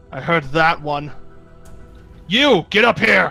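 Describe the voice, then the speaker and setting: A man's put-on character voice, fairly high in pitch and fairly slow, with faint music in the background. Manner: menacing, threatening.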